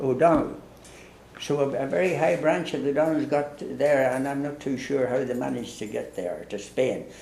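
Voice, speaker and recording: A man speaks with a fairly high pitch and fairly even intonation. There is audible room echo. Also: moderate pace. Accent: Irish. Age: 80s+. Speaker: priest. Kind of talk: casual chat. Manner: halting.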